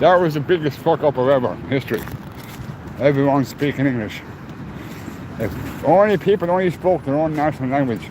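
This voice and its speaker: A man with a fairly high pitch talks at a fairly quick pace, taking long, frequent pauses. There is noticeable background noise. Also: ordinary pitch variation. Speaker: livestreamer. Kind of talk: live walking stream. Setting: outdoors, walking in city streets.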